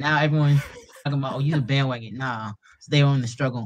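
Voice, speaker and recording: Someone with an Atlanta accent talks at a very fast pace, the sound dry and close with no echo. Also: man. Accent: Atlanta, US South. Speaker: MMA fighter and meme page creator. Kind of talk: casual chat.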